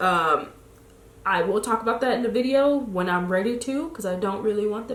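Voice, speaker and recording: With a slight Chicago accent, the speaker sounds animated and talks at a fairly quick pace with ordinary pitch variation, over noticeable background noise and audible room echo. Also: woman. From Chicago, US. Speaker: lifestyle blogger. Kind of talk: casual chat.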